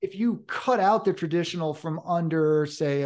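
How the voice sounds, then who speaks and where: A man with an American accent, an unremarkable speaking voice, fairly high pitch with ordinary variation, a moderate pace and a quiet background. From Hudson River Valley, New York. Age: 40s. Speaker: horror author. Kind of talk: casual interview.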